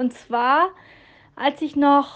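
A woman is speaking. Her pace is very slow. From northern Germany. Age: 30s. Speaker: listener sending a voice message. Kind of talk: storytelling voice message. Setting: recorded voice message.

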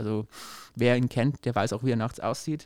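A man talks at a very fast pace with fairly even intonation. The recording is very clean, the background silent. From Upper Palatinate, Bavaria. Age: 20s. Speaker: newspaper editor, podcast co-host. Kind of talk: casual conversational podcast.

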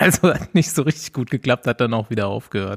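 A man's medium-pitched voice at a moderate pace, with lively intonation and a dry, close sound with no echo. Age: 30s. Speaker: podcast host, cyclist. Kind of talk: casual chat. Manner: animated.

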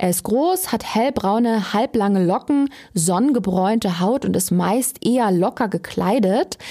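In a normal speaking voice of medium pitch, a woman talks at a moderate pace. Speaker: true crime podcast host. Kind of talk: scripted narration.

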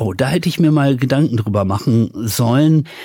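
Here is a man with an ordinary speaking voice. His pitch is fairly high and his intonation lively. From Ruhr area, Germany (Dorsten). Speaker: radio host and DJ. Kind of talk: interview.

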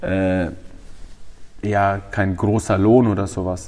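A man's fairly low voice, an unremarkable speaking voice with fairly even intonation. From Franconia, Germany (Feucht near Nuremberg). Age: 20s. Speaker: MMA fighter and trainer. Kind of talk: interview. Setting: gym.

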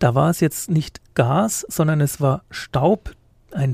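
Very slowly and with ordinary pitch variation, a man talks in a somewhat breathy voice with a dark, mellow tone, recorded very cleanly against a silent background. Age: 50s. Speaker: police reporter. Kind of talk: casual chat. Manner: hesitant, many fillers.

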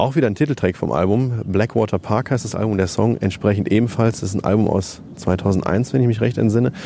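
Against noticeable background noise, a man with a fairly low pitch talks at a fairly quick pace with hardly any pauses and ordinary pitch variation. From Germany, Lower Rhine (Neukirchen-Vluyn). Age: 30s. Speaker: metal festival organiser and video editor. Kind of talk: interview. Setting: outdoors.

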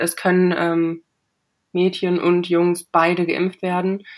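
A woman's monotone, flat intonation in a very clean recording with a silent background. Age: 20s. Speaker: cancer patient. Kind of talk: interview.

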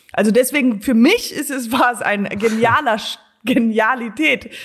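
Somewhat breathy, a woman with a fairly high pitch talks at a fairly slow pace with ordinary pitch variation. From Germany and USA (bilingual). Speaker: comedian. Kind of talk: casual chat. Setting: video call from home office.

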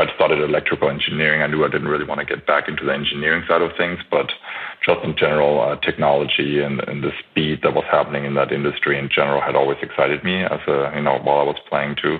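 This man talks at a very fast pace. There is noticeable background noise behind him. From Germany, Franconia. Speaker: former pro basketball player. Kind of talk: podcast interview.

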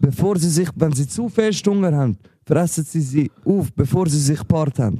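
The tone is dark and mellow, with lively intonation. Delivery comes at a moderate pace. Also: man, fairly high pitch for a man. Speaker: rapper and podcast host. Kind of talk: casual chat.

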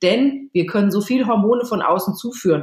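A somewhat breathy woman's voice with ordinary pitch variation, at a moderate pace. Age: 40s. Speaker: author and journalist. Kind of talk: podcast interview.

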